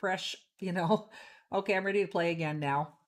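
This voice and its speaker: A woman with a normal speaking voice talks at a medium pitch and a fairly quick pace, with ordinary pitch variation. The recording is very clean, with a silent background. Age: 60s. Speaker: pool player, stream commentator. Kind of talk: live commentary. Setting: live stream at a pool tournament.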